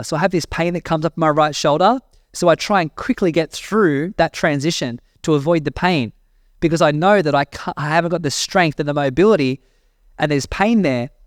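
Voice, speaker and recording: Fairly high-pitched male speech at a fairly quick pace, with ordinary pitch variation, a dry, close sound with no echo, and a very clean recording against a silent background. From Australia. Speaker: personal growth mentor, podcast host. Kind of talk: casual monologue podcast.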